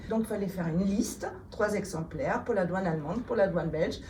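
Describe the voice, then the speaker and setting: A woman at a medium pitch, with ordinary pitch variation, speaks amid audible room echo and noticeable background noise. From Germany. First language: German (speaking French). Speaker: politician. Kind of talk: interview. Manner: hesitant, many fillers.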